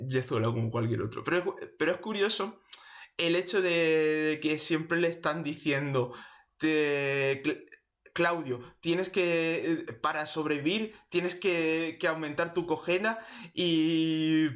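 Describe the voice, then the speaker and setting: Very slow speech from a man at a fairly high pitch, with ordinary pitch variation and very even loudness. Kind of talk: casual talk to camera. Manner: stutters; unscripted, rambling.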